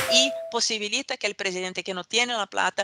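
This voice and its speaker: With a Portuguese accent, the speaker moves along at a fairly quick pace against a quiet background. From Brazil. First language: Portuguese (speaking Spanish). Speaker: political scientist. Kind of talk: academic talk. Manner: halting, many fillers.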